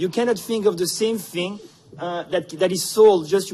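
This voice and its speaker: A man speaks in a Quebec accent with ordinary pitch variation. Noticeable background noise is present. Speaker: economics professor, conference speaker. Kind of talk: conference presentation. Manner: halting, many fillers.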